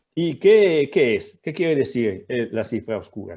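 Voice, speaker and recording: In an Italian accent, a man speaks at a moderate pace with very wide pitch swings. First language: Italian (speaking Spanish). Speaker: professor. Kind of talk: lecture. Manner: halting.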